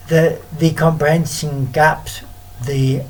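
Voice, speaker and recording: Noticeable background noise and audible room echo surround speech with fairly even intonation. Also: man. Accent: British. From UK. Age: 50s. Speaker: missionary. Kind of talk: recorded talk. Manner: halting.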